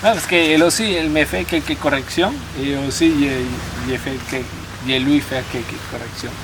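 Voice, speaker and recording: A man talks at a moderate pace with a fairly high pitch and ordinary pitch variation. Audible room echo and noticeable background noise are present. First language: Spanish (speaking French). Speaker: immigrant French learner. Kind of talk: casual chat. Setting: outdoors at a campsite. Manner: halting, with many restarts and repetitions.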